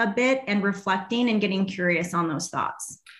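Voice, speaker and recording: Her voice is slightly breathy and pitched fairly high for a woman. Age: 30s. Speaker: fitness coach and business mentor. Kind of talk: casual interview chat. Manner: animated.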